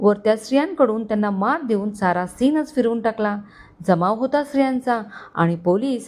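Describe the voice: The text is read out plainly. It is plain reading aloud.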